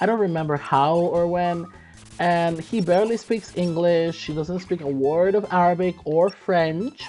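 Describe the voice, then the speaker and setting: Over music in the background, a woman speaks at a fairly slow pace with a fairly low pitch and fairly even intonation. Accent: non-native. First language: not English. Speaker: gaming streamer. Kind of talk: casual chat while gaming.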